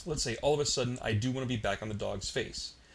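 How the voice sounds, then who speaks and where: A man speaks at a fairly quick pace in a somewhat breathy voice. Audible room echo surrounds the sound. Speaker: software tutorial instructor. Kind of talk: tutorial. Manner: casual, filler-heavy.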